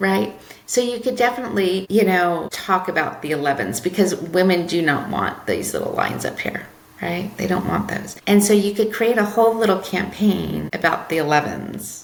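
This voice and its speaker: A woman talks at a moderate pace with lively intonation. Noticeable background noise and audible room echo fill the recording. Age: 50s. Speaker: marketing consultant. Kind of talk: podcast interview. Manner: animated.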